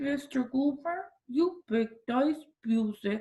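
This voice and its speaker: A put-on, nasal character voice at a very slow pace. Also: female-sounding voice. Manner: holding nose while talking.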